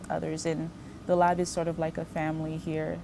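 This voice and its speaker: Music plays behind a woman talking. Her pitch is fairly low. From Haiti, moved to US at about 8. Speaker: postbaccalaureate research fellow. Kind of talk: interview monologue. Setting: laboratory.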